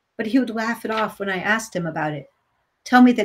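Against a quiet background, the speaker reads in an unforced voice.

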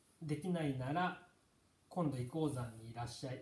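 Light background noise and audible room echo surround a man with a fairly high pitch. He speaks at a moderate pace with ordinary pitch variation. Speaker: Buddhist teacher. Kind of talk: lecture. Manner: halting. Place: home room. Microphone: camera far.

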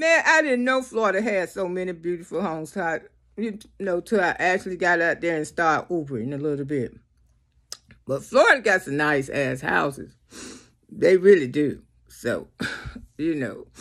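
A woman speaks at a moderate pace and fairly low pitch, with very wide pitch swings. Long, frequent pauses break up her speech against a quiet background. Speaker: comedic vlogger. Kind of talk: casual vlog chat. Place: home room. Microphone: phone near.

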